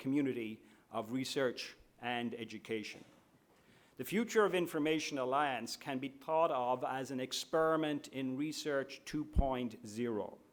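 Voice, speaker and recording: A man with fairly high pitch, ordinary pitch variation, and a moderate pace. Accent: Irish. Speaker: university administrator. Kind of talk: opening speech. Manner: formal.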